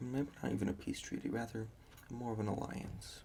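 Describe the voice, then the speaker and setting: A soft-spoken man talks at a moderate pace. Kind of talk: ASMR history map tracing.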